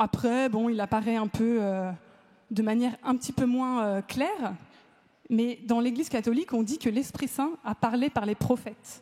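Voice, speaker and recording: A woman talks at a fairly slow pace in a normal speaking voice. Her pitch is fairly high, with ordinary variation. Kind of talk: talk to a live audience. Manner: casual, lively.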